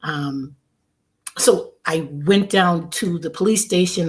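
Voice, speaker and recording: A woman, fairly low in pitch and somewhat breathy, with ordinary pitch variation. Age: 60s. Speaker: testimony guest. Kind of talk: testimony. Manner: halting.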